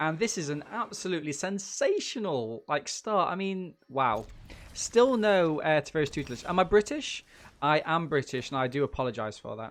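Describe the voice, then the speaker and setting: A man with an East Midlands accent speaks at a moderate pace in a fairly high voice. His pitch swings very widely. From England, Nottingham. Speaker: gaming streamer. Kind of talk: live game commentary. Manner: animated.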